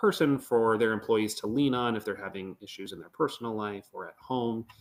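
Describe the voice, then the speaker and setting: At a moderate pace, with an American accent and ordinary pitch variation, this is an ordinary speaking voice. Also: man. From Northern Michigan. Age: 20s. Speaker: economic development manager. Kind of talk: podcast interview. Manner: casual, with many fillers.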